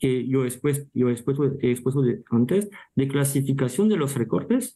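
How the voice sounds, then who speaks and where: This man's voice sits fairly high, with a dark, mellow tone and a somewhat breathy edge, moving at a fairly slow pace with lively intonation. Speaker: meat technology speaker. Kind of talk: panel Q&A answer. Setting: virtual panel. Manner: halting, many restarts.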